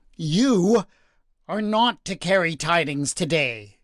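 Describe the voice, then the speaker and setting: A man speaks in a put-on character voice, high-pitched for a man, at a fairly slow pace, on a very clean recording with a silent background. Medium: read story. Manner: blunt, curt.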